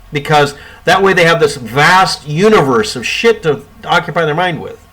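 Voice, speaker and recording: Over noticeable background noise, a man talks at a moderate pace in a high voice with lively intonation. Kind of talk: casual talk to camera. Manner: sarcastic.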